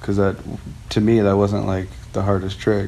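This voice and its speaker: American accent at a moderate pace, with noticeable background noise. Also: man. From US West Coast (Lakewood, LA County, California). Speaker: former pro skateboarder. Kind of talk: casual interview.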